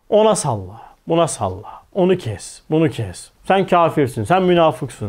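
With a fairly high pitch and very wide swings, a man speaks at a fairly slow pace with hardly any pauses. The background is quiet. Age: 40s. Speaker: religious teacher. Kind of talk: religious lecture. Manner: animated. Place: studio. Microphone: lapel.

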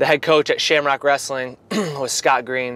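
A man talks at a moderate pace with fairly even intonation, and the sound is dry with no echo. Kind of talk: interview answer. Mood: relaxed, smiling storytelling. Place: car.

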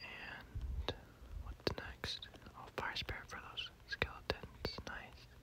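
Whispered words come at a very slow pace, with noticeable background noise behind them. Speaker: ASMR gaming creator. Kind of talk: whispered gameplay commentary. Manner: casual, laid-back.

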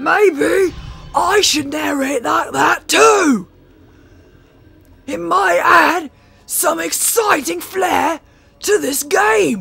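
This is a put-on character voice at a very slow pace. Faint music plays in the background. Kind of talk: comic overacting. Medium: game stream. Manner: loud, exclamatory, overeager.

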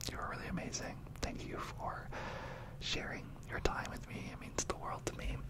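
A soft-spoken man talks at a moderate pace. Loud background noise is present behind him. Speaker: ASMR creator. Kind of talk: soft-spoken ASMR talk to viewers. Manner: soft, close-miked ASMR speech. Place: home room. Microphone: studio mic.

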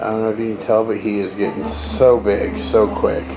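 Noticeable background noise is present. Over it, a man talks at a fairly slow pace. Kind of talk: casual vlog chat. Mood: affectionate, relaxed. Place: garden. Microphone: phone near.

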